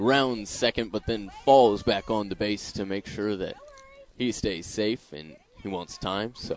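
The speaker goes at a fairly slow pace. Noticeable background noise runs underneath. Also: man, fairly low pitch for a man, ordinary pitch variation. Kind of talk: live radio play-by-play commentary of a Little League game.

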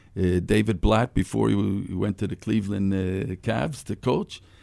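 Speaking with an American accent, a man uses a fairly low pitch, a dark, mellow tone and vocal fry at a moderate pace. The recording is very clean, with a silent background. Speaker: former basketball player. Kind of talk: radio interview. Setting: studio.

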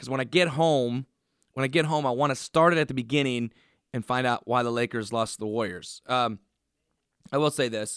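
On a very clean recording with a silent background, a man of medium pitch speaks in a plain, everyday voice. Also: dry, close sound with no echo. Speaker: radio sports host. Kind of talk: solo radio sports show monologue.

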